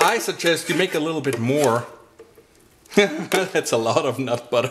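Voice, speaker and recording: Noticeable background noise sits behind lively intonation delivered at a moderate pace. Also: man, fairly high pitch for a man. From Austria. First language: German. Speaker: blender seller demonstrating recipes. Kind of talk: product demo tutorial. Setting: home kitchen. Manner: casual, chatty.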